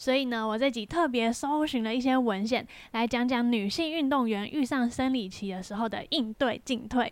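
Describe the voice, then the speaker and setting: A woman with a Taiwanese accent speaks in a high pitch at a moderate pace, with ordinary pitch variation and hardly any pauses, on a very clean recording with a silent background. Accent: Taiwanese Mandarin. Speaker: podcast host and amateur triathlete. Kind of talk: casual solo podcast monologue.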